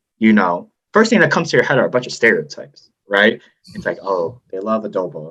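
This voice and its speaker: Here a man speaks with an American accent. He talks at a fairly quick pace. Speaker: podcast guest. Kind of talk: casual chat.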